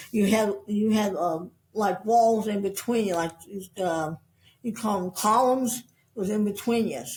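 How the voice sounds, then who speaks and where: A woman with an American accent speaks in a medium pitch, somewhat breathy, with ordinary pitch variation. She moves at a fairly slow pace with long, frequent pauses. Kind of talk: interview. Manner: halting, repeats words.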